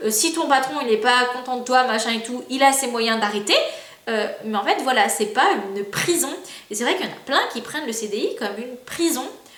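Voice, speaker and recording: In a room with audible echo and noticeable background noise, a woman speaks at a moderate pace with a high pitch and lively intonation. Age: 20s. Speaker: youtuber. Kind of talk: casual vlog monologue. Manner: hesitant, many fillers.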